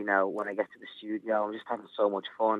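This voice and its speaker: A man talks in a Liverpool accent at a fairly quick pace. His pitch sits fairly low. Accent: Scouse. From Liverpool, England. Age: 20s. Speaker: singer. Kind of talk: interview. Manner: animated.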